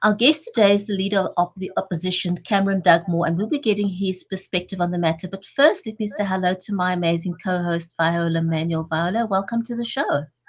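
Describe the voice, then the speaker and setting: Somewhat breathy and at medium pitch, a woman talks at a fairly quick pace with hardly any pauses and ordinary pitch variation. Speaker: talk show host. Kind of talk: live online talk show.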